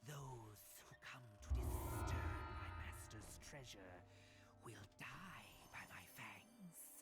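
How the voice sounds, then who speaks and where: Over loud background noise, a put-on character voice whispers and hisses at a very slow pace. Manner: angry, hissing; threatening.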